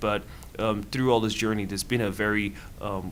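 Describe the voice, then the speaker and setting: Speaking at a fairly quick pace, a man with a fairly low pitch keeps his intonation fairly even amid audible room echo. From Nigeria. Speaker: student and nonprofit founder. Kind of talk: interview. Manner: halting, many fillers and repeated words.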